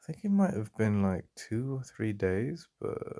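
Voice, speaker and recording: Speaking at a very slow pace, a man with an English accent has a fairly low pitch and a dark, mellow tone. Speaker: ASMR roleplay performer. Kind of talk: ASMR boyfriend roleplay. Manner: soft-spoken, intimate.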